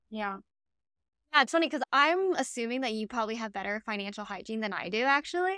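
Very fast and bright, sharp in tone, a woman with an American accent speaks in a fairly high pitch with very wide pitch swings, the sound dry and close with no echo. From Miami, Florida. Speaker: podcast host, former investment banker. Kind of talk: casual chat.

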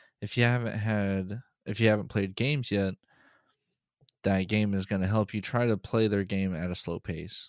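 On a very clean recording with a silent background, a man in an unremarkable speaking voice talks at a moderate pace, with a fairly low pitch and fairly even intonation. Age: 20s. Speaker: podcast co-host. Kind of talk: casual chat.

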